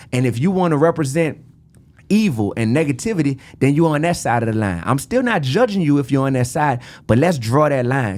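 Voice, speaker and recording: With a New Orleans accent, a man speaks at a fairly quick pace in an animated tone, his intonation lively. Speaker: rapper. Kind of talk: podcast interview.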